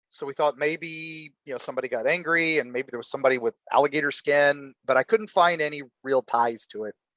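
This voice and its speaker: A man with an unremarkable speaking voice, fairly high in pitch, talks at a fairly quick pace with hardly any pauses, big swings in loudness and ordinary pitch variation, in a dry, close sound with no echo. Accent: American. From Florida, USA. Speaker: horror author and guest. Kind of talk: casual storytelling in a podcast interview.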